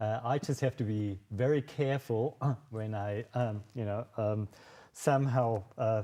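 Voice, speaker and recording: A man speaks at medium pitch with a dark, mellow tone and fairly even intonation. His fairly slow delivery sits in a very clean recording with a silent background. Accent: German. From Germany, Munich, Bavaria. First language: German. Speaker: wine sales manager. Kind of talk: virtual tasting presentation. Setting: live video stream. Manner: halting, many fillers.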